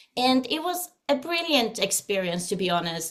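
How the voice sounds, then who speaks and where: A woman is speaking. She has a Swedish accent. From Sweden. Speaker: singer and vocal coach. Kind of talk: interview. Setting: video call.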